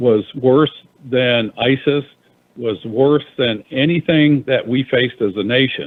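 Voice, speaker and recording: This man has an unremarkable speaking voice with a medium pitch. He talks at a fairly slow pace with ordinary pitch variation. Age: 60s. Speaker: former congressman, radio co-host. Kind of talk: talk radio discussion.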